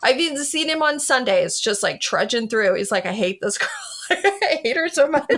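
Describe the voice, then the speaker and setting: A high-pitched woman's voice with very wide pitch swings over noticeable background noise. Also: moderate pace. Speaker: author. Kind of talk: casual chat. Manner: loud; animated.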